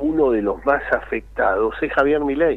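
Noticeable background noise surrounds a man speaking with a Rioplatense accent. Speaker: political analyst. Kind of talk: radio interview.

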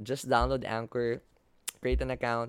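A medium-pitched man with a Filipino accent, with a dry, close sound with no echo, in a very clean recording with a silent background. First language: Tagalog. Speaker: student podcaster and campus host. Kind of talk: solo podcast monologue. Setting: home recording on video. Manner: code-switching Taglish.

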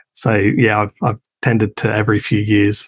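A man with a fairly low pitch sounds somewhat breathy and flat, monotone in intonation, with a dry, close sound and no echo. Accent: Australian. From Adelaide, South Australia. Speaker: business owner building offshore teams. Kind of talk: interview. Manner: hesitant, repeats words.

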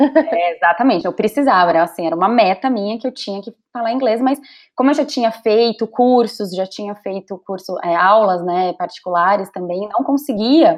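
An unremarkable speaking voice runs on with lively intonation and hardly any pauses. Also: woman, fairly high pitch for a woman, moderate pace. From Brazil. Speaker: digital entrepreneur coaching women. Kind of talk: casual interview chat. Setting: visiting Brazil, on holiday.

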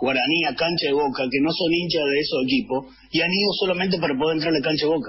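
Amid noticeable background noise, a man with a fairly high voice talks at a fairly quick pace with ordinary pitch variation. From Argentina, Alta Gracia, Córdoba. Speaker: football supporters' club leader. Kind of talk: casual radio interview. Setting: remote call via Zoom.

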